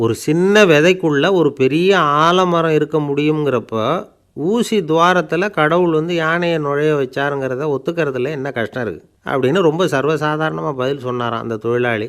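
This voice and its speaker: A man with a fairly high pitch and ordinary pitch variation is captured on a very clean recording with a silent background. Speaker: radio speaker and storyteller. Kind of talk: radio storytelling anecdote with a moral, short daily talk. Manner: simple, conversational, gently humorous.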